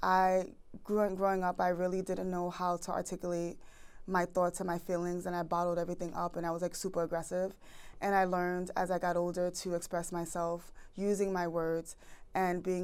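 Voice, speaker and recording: In a very clean recording with a silent background, a woman speaks at a fairly quick pace in a fairly low voice with monotone, flat intonation. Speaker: relationship podcast host. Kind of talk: podcast Q&A answers. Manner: fast.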